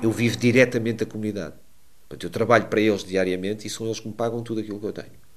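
A man speaks at a very fast pace, broken by long, frequent pauses, with a fairly low pitch and fairly even intonation. His loudness swings widely. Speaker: streamer and gaming coach. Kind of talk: interview. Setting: gaming fair.

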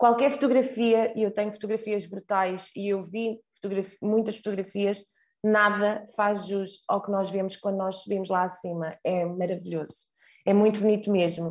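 A woman speaks in an ordinary speaking voice at a moderate pace. Her pitch is medium and her intonation fairly even. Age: 30s. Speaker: marketing professional sharing travel experience. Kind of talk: casual travel testimony.

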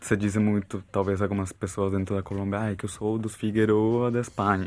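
This man has a Brazilian accent and a fairly low pitch. His delivery is monotone, with flat intonation. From Colombia, Bogotá. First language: Spanish (speaking Portuguese). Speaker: therapist. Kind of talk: casual chat.

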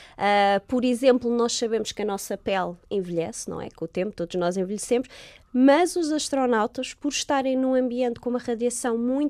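A fairly high-pitched woman with an ordinary speaking voice talks at a fairly quick pace on a very clean recording with a silent background and a dry, close sound with no echo. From Portugal, Lisbon. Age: 30s. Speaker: astrobiologist. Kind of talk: interview.

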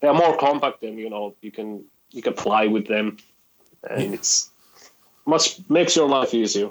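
Using lively intonation, a man with a Finnish accent speaks at medium pitch and a moderate pace, with long, frequent pauses and big swings in loudness. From Finland. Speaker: rock guitarist. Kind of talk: interview.

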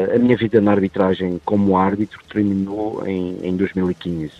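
Against music in the background, a man talks at a fairly slow pace, his pitch very deep and low and his intonation fairly even. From Madeira, Portugal. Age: 40s. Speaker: former football referee. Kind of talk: interview. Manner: halting, many fillers and repetitions.

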